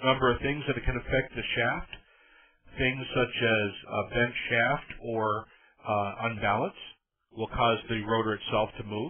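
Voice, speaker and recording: A man talks at a fairly slow pace with fairly even intonation. His is an unremarkable speaking voice at a medium pitch. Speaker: electrical reliability trainer. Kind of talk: technical training presentation. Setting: online presentation audio, slightly tinny.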